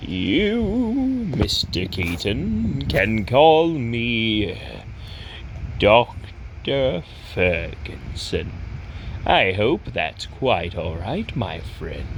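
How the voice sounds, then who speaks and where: This put-on character voice talks at a very slow pace against clear background noise. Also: man. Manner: formal, courteous.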